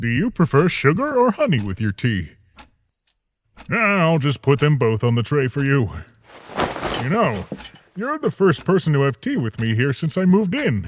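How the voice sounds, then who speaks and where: Using a cartoonish character voice at a fairly high pitch, a man speaks at a moderate pace with long, frequent pauses. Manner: soft-spoken, reflective.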